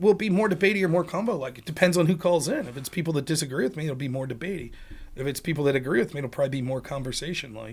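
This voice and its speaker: Speaking at a very fast pace, a man uses a fairly high pitch and lively intonation. His voice is somewhat breathy, with big swings in loudness. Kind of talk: casual streamer talking to an audience. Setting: online stream or show. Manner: speaks very fast, rushed.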